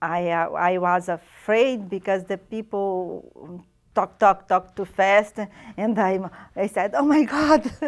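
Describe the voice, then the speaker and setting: A woman of medium pitch, with a non-native accent, speaks at a very slow pace with ordinary pitch variation. The recording is very clean, the background silent. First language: not English. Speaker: immigrant interviewee. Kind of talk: interview testimony. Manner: halting.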